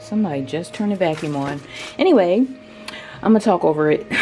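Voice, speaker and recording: A soft-spoken woman, fairly low in pitch, with lively intonation and music in the background. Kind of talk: casual DIY talk to camera.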